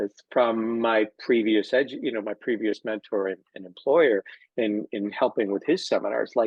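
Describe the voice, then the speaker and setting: This man talks at a moderate pace with fairly even intonation and a medium pitch. He has an ordinary speaking voice. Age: 60s. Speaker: physical therapist and educator. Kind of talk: casual interview chat.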